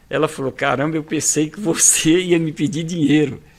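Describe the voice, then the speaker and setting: Noticeable background noise behind a man's moderately paced, fairly high voice. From Ceará, Brazil. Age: 70s. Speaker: entrepreneur. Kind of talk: podcast interview storytelling.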